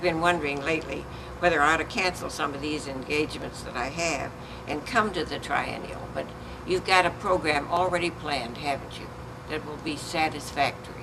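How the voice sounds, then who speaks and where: Through noticeable background noise and audible room echo, a woman with a fairly low pitch and ordinary pitch variation speaks at a moderate pace. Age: 90s. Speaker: pastor's widow and church leader. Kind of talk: casual chat. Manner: halting.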